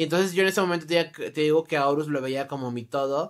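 Over a quiet background, a woman speaks very fast in a very deep, low pitch. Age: 20s. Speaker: YouTuber. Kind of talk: storytime monologue. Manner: casual, animated. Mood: candid, slightly exasperated. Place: home room. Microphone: phone near.

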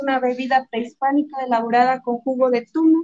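A woman's high-pitched, dark and mellow voice with fairly even intonation, at a fairly quick pace over a quiet background. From Mexico, Guanajuato. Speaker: chef; presenter. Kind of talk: cooking demonstration. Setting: restaurant kitchen. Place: kitchen.

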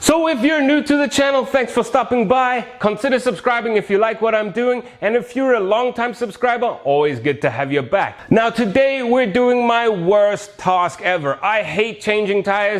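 With an extremely high pitch, a man talks at a moderate pace, his intonation lively and hardly any pauses breaking it up. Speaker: motorbike channel host. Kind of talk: casual vlog chat and tutorial. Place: garage. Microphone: lapel.

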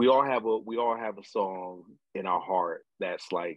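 A man with a low voice speaks at a fairly slow pace.

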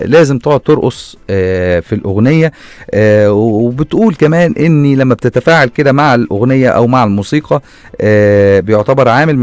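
A man at a moderate pace with lively intonation and very even loudness, in a dry sound with no echo and a quiet background. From Egypt. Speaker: radio host. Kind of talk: radio segment, casual. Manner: halting, many fillers. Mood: playful, amused, laughing. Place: studio. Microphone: studio mic.

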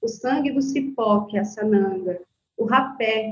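Her voice somewhat breathy and fairly high, a woman speaks with fairly even intonation. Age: 40s. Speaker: Candomblé priestess. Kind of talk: casual interview.

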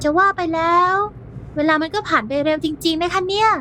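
A put-on character voice, female-sounding and extremely high-pitched, over clear background noise. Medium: audio drama.

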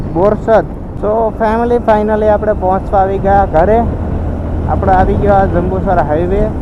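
The man's loudness stays very even amid noticeable background noise and audible room echo. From Gujarat, Bhavnagar district (Saurashtra). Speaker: motovlogger. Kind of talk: vlog narration. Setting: outdoors on a motorbike.

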